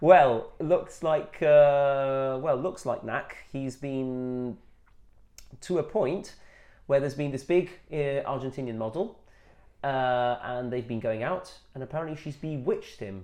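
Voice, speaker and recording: At a fairly slow pace, a man with a fairly high pitch and a dark, mellow tone speaks with ordinary pitch variation and big swings in loudness. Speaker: football podcast co-host. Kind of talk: casual chat.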